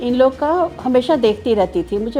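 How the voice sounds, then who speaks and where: A woman speaks with music in the background. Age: 60s. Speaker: patient giving testimonial. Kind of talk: testimony.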